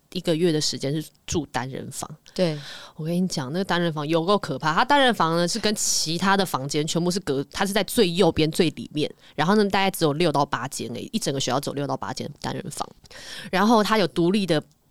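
A woman with an ordinary speaking voice talks at a fairly quick pace, her fairly low pitch carrying lively intonation on a very clean recording with a silent background. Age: 20s. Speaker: reality show contestant. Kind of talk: casual chat.

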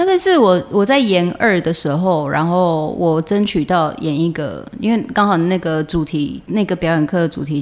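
Her voice is fairly low in pitch for a woman, with a slight central Taiwanese accent. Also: ordinary pitch variation, moderate pace, hardly any pauses. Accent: coastal Changhua Taiwanese accent, slight. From Taiwan, Changhua. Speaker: stage and screen actress. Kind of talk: interview conversation.

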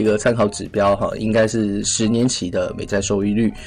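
Medium-pitched male voice with music in the background. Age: 20s. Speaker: finance podcast host. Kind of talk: casual finance commentary. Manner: many filler particles.

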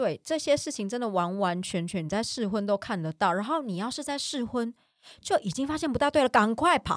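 A woman speaks at a fairly quick pace in a fairly high voice. Her pitch swings very widely, and the sound is dry and close with no echo. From Taiwan. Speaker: podcast co-host. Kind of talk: casual chat.

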